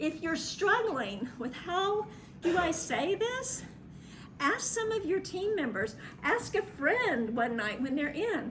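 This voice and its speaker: Loud and with very wide pitch swings, a woman speaks amid noticeable background noise and audible room echo. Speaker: travel marketing and PR consultant. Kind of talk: workshop presentation. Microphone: speaking without microphone.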